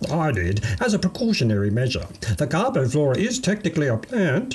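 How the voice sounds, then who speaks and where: A man in a put-on character voice, enthusiastic in tone, at a fairly quick pace with very wide pitch swings. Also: fairly high pitch for a man. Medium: read story. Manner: enthusiastic, formal.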